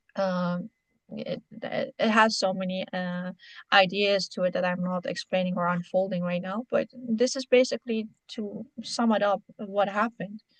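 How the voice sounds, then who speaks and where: Somewhat breathy, this voice moves at a fairly slow pace with fairly even intonation and a dry, close sound with no echo. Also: woman, medium pitch for a woman. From Iran. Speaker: interview guest on history. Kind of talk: interview. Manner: halting, many fillers.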